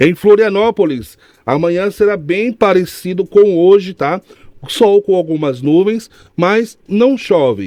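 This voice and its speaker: A man with a Piauí accent talks very slowly, his pitch high yet his tone dark and mellow. The sound is dry and close, with no echo. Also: ordinary pitch variation. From Brazil, Piauí. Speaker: radio news presenter. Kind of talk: weather report.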